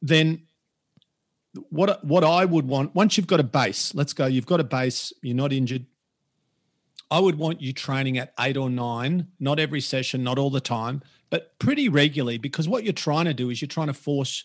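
A man with an Australian accent speaks at a moderate pace and a medium pitch against a quiet background. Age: 50s. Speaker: personal trainer. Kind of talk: casual interview. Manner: animated.

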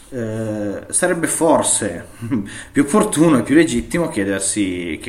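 A man's intonation is lively, and the room echo around him is audible. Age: 30s. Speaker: IT consultant, digital forensics. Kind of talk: interview. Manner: halting, many fillers.

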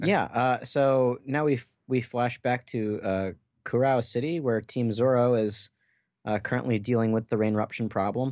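A man with a plain, everyday voice, medium pitch, fairly even intonation and a moderate pace against a quiet background. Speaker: podcast co-host. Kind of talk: casual chat.

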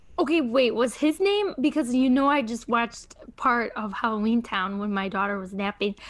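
An unremarkable speaking voice moves at a moderate pace with hardly any pauses. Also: woman, fairly high pitch for a woman, lively intonation. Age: 20s. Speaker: podcast guest, young mother. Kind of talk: casual chat.

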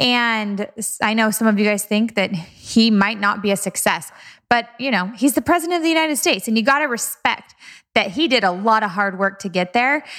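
Her tone animated and her intonation lively, a woman talks at a fairly quick pace with a fairly high pitch. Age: 30s. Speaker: podcast host and entrepreneur, former ER nurse. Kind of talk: motivational podcast monologue.

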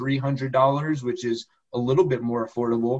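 Fairly even intonation in a plain, everyday voice. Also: man. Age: 30s. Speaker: lawyer and accountant. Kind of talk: interview.

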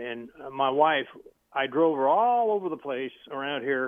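A man with an American accent talks in an ordinary speaking voice. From US South. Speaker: caller. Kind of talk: casual chat. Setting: phone call.

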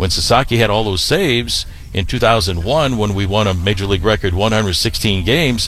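Over noticeable background noise and with audible room echo, a man speaks at a moderate pace in a fairly low pitch with ordinary pitch variation. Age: 60s. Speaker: baseball play-by-play broadcaster. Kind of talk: casual interview.

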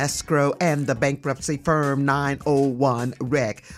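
A woman with an American accent talks while music plays in the background. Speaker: radio host. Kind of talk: radio talk show. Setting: radio studio. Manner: animated.

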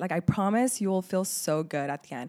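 Speaking in a normal speaking voice at a fairly quick pace, a woman with a medium pitch and lively intonation is heard in a very clean recording with a silent background. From Laredo, Texas and Lebanon. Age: 20s. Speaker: student. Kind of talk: casual chat.

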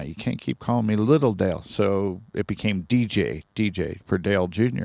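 Over a silent background in a very clean recording, a normal speaking voice with an American accent shows ordinary pitch variation. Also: man. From Ohio, US Midwest (Sharonville near Cincinnati). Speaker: podcast guest. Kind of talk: casual chat. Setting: recorded at his trailer.

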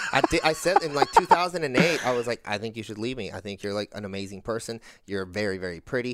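This man has a normal speaking voice, medium in pitch, moving at a fairly quick pace with lively intonation. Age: 30s. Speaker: marketing agency head and content creator. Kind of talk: casual interview chat. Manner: casual, filler-heavy speech.

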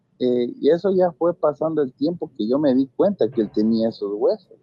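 A man talks with lively intonation at a fairly high pitch. It's an unremarkable speaking voice. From Ecuador, Latacunga. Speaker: caller. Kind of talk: telling a personal ghost story. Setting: phone call.

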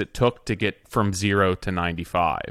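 Recorded very cleanly against a silent background, a normal speaking voice comes through dry and close with no echo, at a moderate pace with fairly even intonation. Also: man. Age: 30s. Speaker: podcast co-host. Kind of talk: casual interview.

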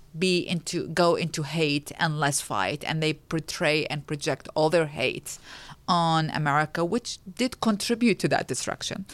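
A woman with an Arabic accent and a fairly low pitch speaks at a moderate pace. The recording is very clean, with a silent background. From Iraq, Baghdad. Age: 40s. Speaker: women's rights advocate. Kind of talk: interview.

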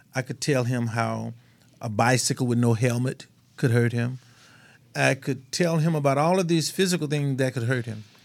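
A man with a Mississippi accent and a medium-pitched voice. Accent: Southern US (Mississippi). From US South, Mississippi. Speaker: radio talk show host. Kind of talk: casual chat. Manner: animated.

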